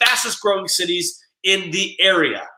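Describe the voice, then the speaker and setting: This man's voice is raised and projected, with a high pitch for a man. His tone is animated. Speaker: real estate coach. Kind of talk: casual video talk. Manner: fast.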